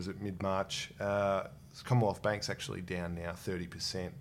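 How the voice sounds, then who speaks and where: Moving at a fairly quick pace, a man with a fairly low voice speaks in an Australian accent. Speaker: podcast host. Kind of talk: casual interview about investing.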